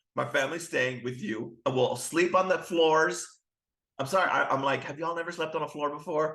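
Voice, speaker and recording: In a quiet setting, a man with a fairly high pitch and a bright, sharp tone sounds animated, moving at a moderate pace with ordinary pitch variation. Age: 30s. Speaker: guest co-host. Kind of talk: casual chat.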